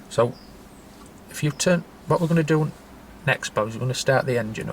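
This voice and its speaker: At a fairly quick pace, a man speaks in a somewhat breathy voice with ordinary pitch variation. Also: fairly high pitch for a man. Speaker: trainee driving instructor. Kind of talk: instructional role-play lesson. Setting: in a car. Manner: halting.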